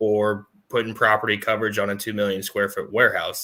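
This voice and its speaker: A man talks at a very fast pace with an American accent. His pitch sits fairly low, and his tone is bright and sharp. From US South, North Carolina. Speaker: insurance agent. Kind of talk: casual interview.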